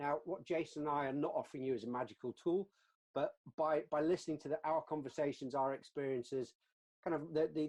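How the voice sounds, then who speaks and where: Talking at a very fast pace, a man with a British accent has a fairly high voice with a dark, mellow tone. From UK. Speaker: customer success leader, webinar co-host. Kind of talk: webinar discussion. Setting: online webinar. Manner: repetitive false starts.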